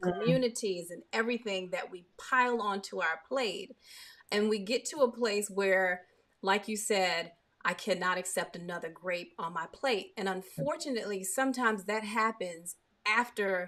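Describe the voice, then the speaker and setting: The speech moves at a moderate pace in a normal speaking voice. Pitch varies in an ordinary way. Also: woman, medium pitch for a woman. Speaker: talk show host. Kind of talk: interview question.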